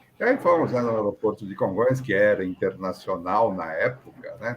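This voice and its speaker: This clip has a man speaking at a moderate pace. Noticeable background noise is present. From Brazil, São Paulo. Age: 60s. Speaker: aviation professional. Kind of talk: interview, personal story. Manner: conversational, many fillers.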